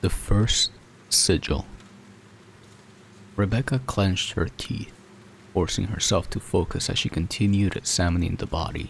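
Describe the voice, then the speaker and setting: A fairly low, somewhat breathy man's voice with ordinary pitch variation and long, frequent pauses. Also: moderate pace. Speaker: storyteller, narrator. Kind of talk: horror story narration, ASMR-style.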